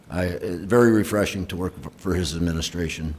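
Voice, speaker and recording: There is audible room echo around this man's voice. He has an American accent and a very deep, low pitch. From Rochester, New York. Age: 60s. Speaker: retiring fire chief. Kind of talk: retirement speech. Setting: council chamber. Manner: halting, many fillers.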